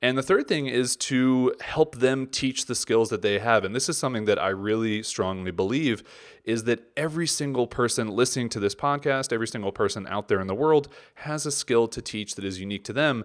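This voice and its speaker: The recording is very clean, with a silent background. The speaker has a normal speaking voice, talking at a fairly quick pace with ordinary pitch variation. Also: man, medium pitch for a man. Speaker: podcast host and product creator. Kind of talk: solo podcast monologue.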